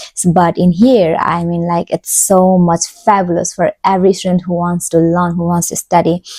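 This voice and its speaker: Speaking with a Nepali accent at a moderate pace and with hardly any pauses, a woman uses a fairly low, dark, mellow voice and monotone, flat intonation, captured with a dry, close sound and no echo. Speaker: PhD student, vlogger. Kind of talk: casual vlog talk.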